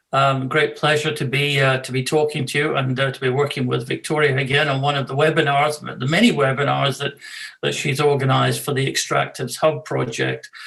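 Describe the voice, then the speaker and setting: Fast-ish and fairly high, a man's voice comes at a fairly quick pace with monotone, flat intonation and a slight Scottish accent. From Scotland. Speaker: law professor and arbitrator. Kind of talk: webinar self-introduction. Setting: video webinar. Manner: halting, many fillers.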